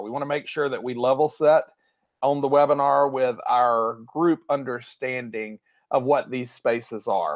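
A man speaks with a Southern US accent. The background is quiet. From US South, Tennessee. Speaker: education technology director, former school leader. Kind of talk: webinar presentation. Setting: video call. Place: home room. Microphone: webcam.

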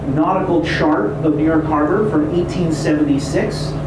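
Here a man is speaking, with audible echo from the room. Loud noise fills the background. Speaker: tour guide. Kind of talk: guided history tour narration. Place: boat. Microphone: pa.

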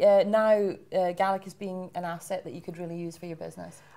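A woman talks in a cheerful tone with hardly any pauses and big swings in loudness. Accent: Scottish. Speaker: webinar host. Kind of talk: hosted webinar panel discussion. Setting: live-streamed webinar. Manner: cheerful, laughs often.

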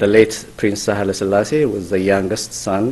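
A man's fairly low voice over light background noise. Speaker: event host introducing a speaker. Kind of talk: formal introduction speech. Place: hall. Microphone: podium.

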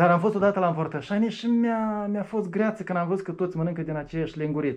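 A high-pitched man at a very fast pace, with hardly any pauses and ordinary pitch variation, over a quiet background. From Moldova. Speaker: atheist activist; interviewee. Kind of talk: interview. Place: meeting room.

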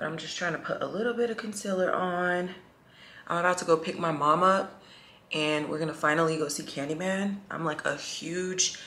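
Amid noticeable background noise and audible room echo, a woman with a fairly low pitch talks at a moderate pace with fairly even intonation. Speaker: vlogger. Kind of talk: casual vlog talk to camera.

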